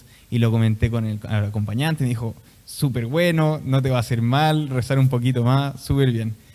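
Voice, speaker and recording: A man with an unremarkable speaking voice talks at an average speed, using a mid-range pitch and normal pitch movement. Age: 20s. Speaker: seminarian. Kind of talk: testimony.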